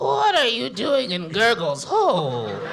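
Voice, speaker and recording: This put-on character voice sits at a middle pitch. It moves at a fairly slow pace. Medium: stage play. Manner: speaks of himself in third person, broken grammar.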